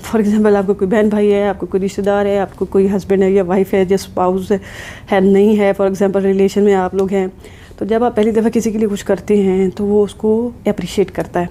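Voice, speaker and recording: Against noticeable background noise, a woman talks at a medium pitch. Her intonation is monotone and flat, and her loudness stays very even. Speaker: psychologist / counselor YouTuber. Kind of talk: advice talk to camera. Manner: serious.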